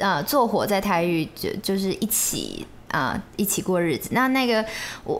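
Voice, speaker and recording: At a moderate pace, a woman with a medium pitch and lively intonation talks in a plain, everyday voice. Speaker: bride. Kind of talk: casual chat.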